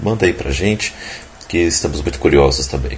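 A man's very deep, low voice with lively intonation over noticeable background noise. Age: 20s. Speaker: podcast host. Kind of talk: casual chat.

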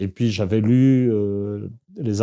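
In a dark, mellow tone and a medium pitch, a man talks with ordinary pitch variation over a quiet background. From France, Paris region (Saint-Germain-en-Laye). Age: 60s. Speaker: historian and anthropologist. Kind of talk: interview. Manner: halting, many hesitations and repetitions.

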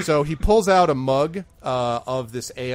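Plain reading aloud comes with lively intonation.

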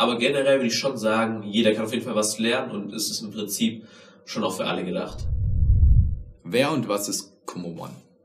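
At a fairly quick pace, a man of medium pitch speaks amid noticeable background noise and audible room echo. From Germany, Tübingen. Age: 20s. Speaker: podcast host and capoeira and tricking athlete. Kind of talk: self-interview, casual.

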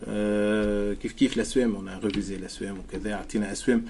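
Monotone, flat intonation marks this man's speech. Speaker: entrepreneur, founder of a marketplace. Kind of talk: business interview.

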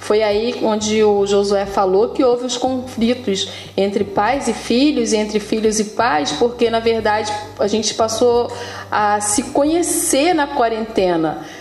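At a fairly slow pace and very even loudness, the voice shows ordinary pitch variation, with audible room echo and noticeable background noise. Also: woman, fairly high pitch for a woman. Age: 40s. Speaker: preschool educator and parent. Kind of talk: casual chat.

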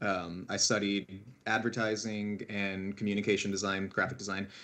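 Moderately paced and fairly even in intonation, the man has a plain, everyday voice. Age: 30s. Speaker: art print company staff. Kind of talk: casual chat.

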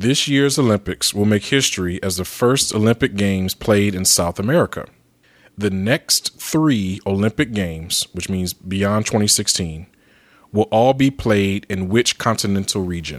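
In a very clean recording with a silent background and a dry, close sound with no echo, a man speaks in an ordinary speaking voice at a fairly slow pace, his pitch fairly low with ordinary variation. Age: 30s. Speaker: returning guest host. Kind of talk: casual chat.

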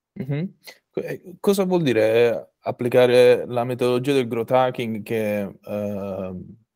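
A man's medium-pitched voice, dark and mellow in tone, with lively intonation at a very slow pace. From Apulia, southern Italy. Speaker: podcast host. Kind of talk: interview conversation. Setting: video call.

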